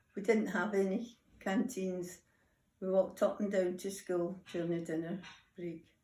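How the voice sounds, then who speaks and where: Speaking in a Scottish accent at a moderate pace, a woman with a medium pitch and a dark, mellow tone keeps a monotone, flat intonation and leaves long, frequent pauses. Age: 80s+. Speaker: grandmother interviewed by school children. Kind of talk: interview.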